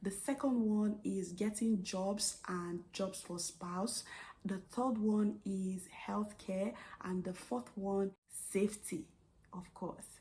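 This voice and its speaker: A woman's very slow, somewhat breathy voice in a dark, mellow tone, with an American accent. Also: medium pitch for a woman, ordinary pitch variation. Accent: Nigerian accent, noticed by US patients. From Nigeria. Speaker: vlogger and registered nurse. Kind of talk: vlog monologue.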